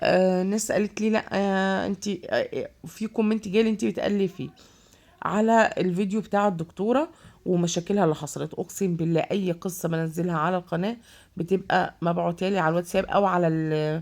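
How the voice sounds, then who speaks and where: Fairly even intonation marks a woman's speech, delivered at a moderate speed. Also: medium pitch for a woman. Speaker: vlogger. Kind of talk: casual vlog. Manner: hesitant, many fillers.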